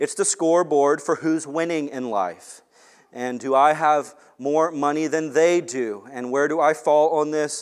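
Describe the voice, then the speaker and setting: An ordinary speaking voice moves at a fairly slow pace. Its pitch variation is ordinary. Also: man. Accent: American. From US West Coast (Long Beach, California). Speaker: pastor. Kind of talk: sermon.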